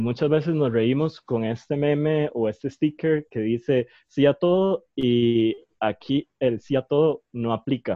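This man has an ordinary speaking voice, pitched fairly high. He talks at a fairly slow pace with ordinary pitch variation. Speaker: podcast host. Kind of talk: casual chat.

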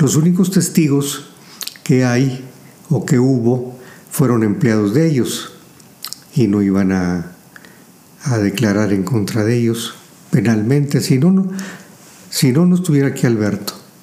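A man at medium pitch and a fairly slow pace, lively intonation, very even loudness, and long, frequent pauses, with audible room echo and noticeable background noise. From Mexico, Saltillo, Coahuila. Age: 80s+. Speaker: businessman and engineer. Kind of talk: interview. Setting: home library.

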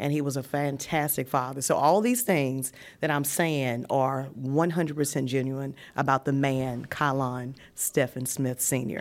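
Speaking in a Southern US accent, a woman talks at a fairly slow pace with a very deep, low pitch and fairly even intonation. The recording is very clean, its background silent. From Virginia. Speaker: widow sharing her grief story. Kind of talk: testimony.

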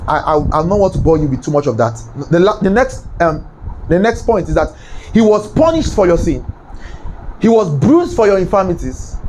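Over noticeable background noise, a man with a high pitch and lively intonation talks at a fairly quick pace broken by long, frequent pauses. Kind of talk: sermon, preacher in full flow with call-and-response. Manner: commanding and rousing, barking repeated orders for the crowd to echo; loud, fervent, rhythmic and repetitive.

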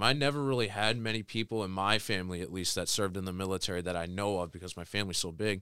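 A man with a Midwestern American accent speaks at a very fast pace in a bright, sharp tone. His intonation is fairly even, and the recording is very clean with a silent background. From Michigan, Tecumseh. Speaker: college football player and ROTC cadet. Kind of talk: casual interview.

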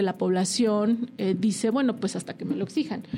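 A woman's voice, fairly high in pitch. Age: 40s. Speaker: lawyer. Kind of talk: casual interview.

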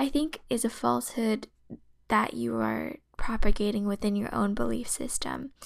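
An American-accented woman, very clean recording, background silent. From US West Coast, San Francisco Bay Area. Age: 20s. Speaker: podcast host. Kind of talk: solo podcast monologue.

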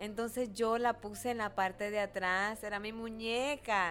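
A woman speaks at a medium pitch with ordinary pitch variation. Her tone is animated. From Dominican Republic. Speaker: radio host and businesswoman. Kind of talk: casual interview.

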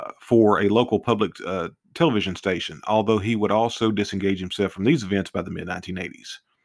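In a very clean recording with a silent background, a man with an ordinary speaking voice talks fairly quickly at a fairly low pitch, with ordinary pitch variation. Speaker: true crime podcaster. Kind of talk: true-crime narration, read-aloud case summary. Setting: studio podcast. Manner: formal and measured, with occasional stumbles and self-corrections.

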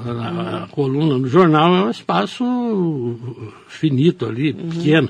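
A man speaks at a moderate pace in a fairly high, somewhat breathy voice. His pitch swings very widely. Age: 60s. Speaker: newspaper editor and journalist. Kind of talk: radio interview. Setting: radio studio.

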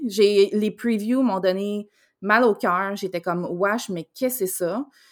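A woman speaks with a Quebec accent. The recording is very clean, with a silent background. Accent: Québécois French. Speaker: podcast co-host. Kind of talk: casual chat.

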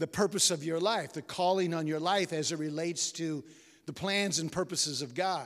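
Moderate-paced speech from a man, high in pitch, with ordinary pitch variation. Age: 60s. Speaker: retired pastor, guest preacher. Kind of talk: sermon. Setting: church. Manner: halting, with frequent repetitions.

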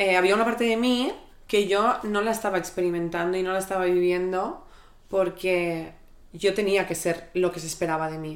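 An unremarkable speaking voice from a woman, with fairly even intonation and a moderate pace. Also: medium pitch for a woman. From Catalonia, Spain. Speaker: creative director. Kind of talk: casual chat.

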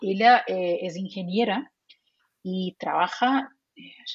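Somewhat breathy, a woman with a Portuguese accent and medium pitch speaks at a very slow pace. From Brazil. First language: Portuguese (speaking Spanish). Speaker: psychologist and remote work recruiter. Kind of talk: interview.

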